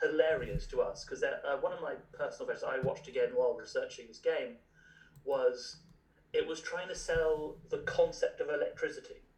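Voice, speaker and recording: Big swings in loudness mark this man's speech. He talks at a moderate pace with an American accent. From English Midlands. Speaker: tabletop game designer. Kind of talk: casual interview chat.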